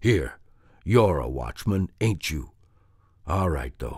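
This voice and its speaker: A put-on character voice from a man, raspy and very deep, low in pitch, with very wide pitch swings and a fairly slow pace. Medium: read story. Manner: gruff, scornful.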